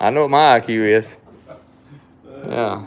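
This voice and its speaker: Here is a man with a strong Southern US accent. His pitch is medium. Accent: thick Southern US. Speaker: knife shop owner and livestream host. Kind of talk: casual live-stream chat.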